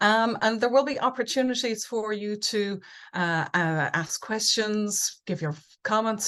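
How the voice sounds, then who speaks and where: The speaker has an Irish accent and ordinary pitch variation. The background is quiet. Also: woman. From Ireland. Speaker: conference speaker, business researcher and coach. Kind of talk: webinar presentation. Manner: many fillers and repetitions.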